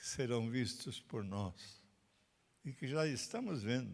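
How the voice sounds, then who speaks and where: A man's medium-pitched voice with lively intonation, on a very clean recording with a silent background. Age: 90s. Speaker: pastor. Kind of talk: sermon. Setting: recorded at a country property.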